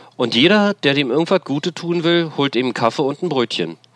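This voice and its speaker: A man's plain, everyday voice with lively intonation at a moderate pace, in a dry, close sound with no echo. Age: 50s. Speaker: formerly homeless man, street worker. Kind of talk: interview testimony.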